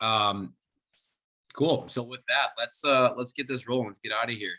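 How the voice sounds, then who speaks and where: With an American accent, a man speaks at a medium pitch in a bright, sharp tone and fairly even intonation. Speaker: swim coach. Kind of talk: online orientation presentation. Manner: fast.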